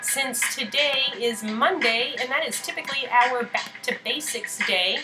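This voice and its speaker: Clear music plays in the background. Over it, a woman uses a raised, projected voice. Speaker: art director hosting a stream. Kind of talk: live stream host chat. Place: home room. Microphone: webcam.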